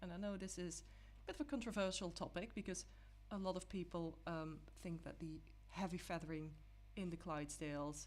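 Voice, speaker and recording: A woman with a non-native accent moves at a moderate pace, leaving long, frequent pauses. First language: not English. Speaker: digital artist. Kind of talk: tutorial. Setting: live stream. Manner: halting, with many fillers.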